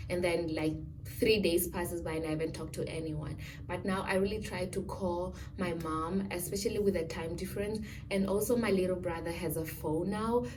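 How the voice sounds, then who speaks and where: Speaking at a fairly quick pace, a woman with a fairly low pitch keeps her intonation fairly even over noticeable background noise and audible room echo. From Namibia. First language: a Namibian home language. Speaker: student vlogger. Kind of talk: casual Q&A vlog. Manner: hesitant, many fillers.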